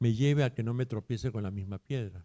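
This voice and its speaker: The tone is dark and mellow, and the recording is very clean with a silent background and a dry, close sound with no echo. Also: man. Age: 60s. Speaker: therapist. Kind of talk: interview.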